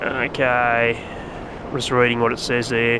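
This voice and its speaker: Noticeable background noise runs behind a man's voice. He talks at a medium pitch in a relaxed tone. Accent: Australian. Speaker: gaming YouTuber. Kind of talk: gameplay commentary tutorial. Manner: relaxed, casual; softly spoken at times.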